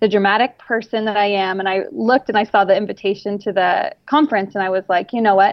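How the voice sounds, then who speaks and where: A woman in an ordinary speaking voice, medium-pitched with fairly even intonation, at a fairly quick pace. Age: 20s. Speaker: adoptive mother of a child with muscular dystrophy. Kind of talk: casual chat. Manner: casual with frequent fillers.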